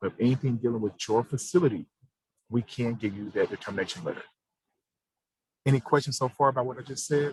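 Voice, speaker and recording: In a dry, close sound with no echo, a man talks very fast in a somewhat breathy voice with ordinary pitch variation. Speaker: government program administrator. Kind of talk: informational briefing on a provider call.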